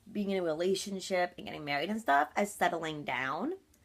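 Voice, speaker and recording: Animated and lively in intonation, a woman at medium pitch talks at a fairly quick pace. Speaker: vlogger. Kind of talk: casual vlog monologue. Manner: loud.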